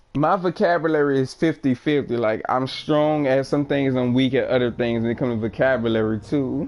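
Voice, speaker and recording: A normal speaking voice from a man, fairly high in pitch, with ordinary pitch variation and a fairly quick pace. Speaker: video game livestreamer. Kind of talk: casual chat. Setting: livestream.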